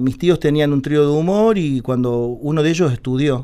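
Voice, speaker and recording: With a plain, everyday voice, a man speaks at a moderate pace and a fairly high pitch, his intonation lively. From Córdoba city, Argentina, then Buenos Aires from age 8. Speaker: tango singer. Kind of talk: radio interview, casual chat. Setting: radio studio.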